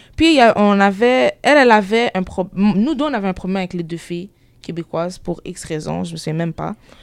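A woman talks at a moderate pace in an ordinary speaking voice with medium pitch. Her intonation is lively and her loudness swings widely. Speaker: student. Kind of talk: group discussion. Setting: college group discussion.

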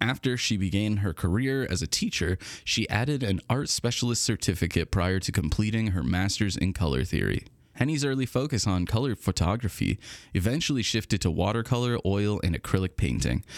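With a normal speaking voice, a man speaks at a fairly quick pace in a fairly low pitch, his intonation lively and the recording very clean with a silent background. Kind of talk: newsreading. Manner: polished and formal, warm announcer cadence, reading arts listings and dates.

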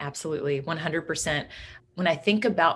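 Her voice sits at a fairly low pitch with ordinary variation. The woman speaks in a Midwestern American accent. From Kansas. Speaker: agribusiness professional. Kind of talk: interview. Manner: animated.

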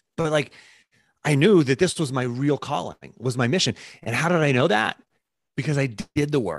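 The sound is dry and close with no echo as a man talks at a moderate pace. His fairly high voice has vocal fry and lively intonation. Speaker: performance coach and former wrestler. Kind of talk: interview conversation. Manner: repetitive, stammering restarts.

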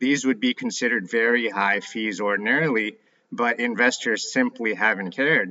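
This man has a plain, everyday voice, medium in pitch for a man, and he speaks at a moderate pace with ordinary pitch variation. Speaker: ETF analyst guest. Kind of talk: interview.

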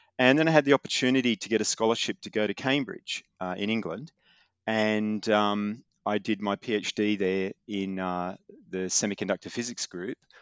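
In an Australian accent, a man speaks at a moderate pace and fairly low pitch with ordinary pitch variation. The sound is dry and close with no echo, against a quiet background. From Australia, Newcastle NSW. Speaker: quantum tech company founder and physics professor. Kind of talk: interview.

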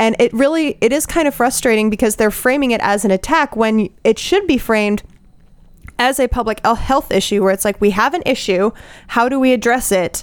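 A woman with an American accent uses a normal speaking voice at a fairly high pitch, moving at a fairly quick pace with ordinary pitch variation and very even loudness. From Colorado. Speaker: MD PhD student. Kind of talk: casual group discussion.

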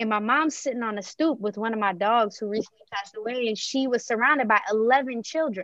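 A woman speaks at a fairly quick pace with an American accent, her pitch fairly high and its variation ordinary. It's an ordinary speaking voice. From Maryland, US. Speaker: early childhood educator. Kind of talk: interview conversation.

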